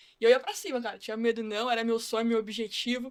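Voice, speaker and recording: A woman's voice, bright and sharp in tone. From São Paulo city, Brazil. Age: 20s. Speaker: football academy staff, former player. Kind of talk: casual podcast chat.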